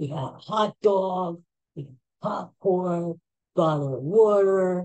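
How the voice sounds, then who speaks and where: This voice moves at a very slow pace in a Philadelphia accent. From Philadelphia, US. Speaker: podcaster. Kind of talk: casual chat. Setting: at home.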